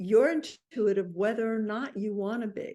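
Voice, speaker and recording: Against a quiet background, a woman with an American accent uses a normal speaking voice, fairly high pitch, lively intonation and a fairly slow pace. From New York. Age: 60s. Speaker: intuitive and author. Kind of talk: interview conversation.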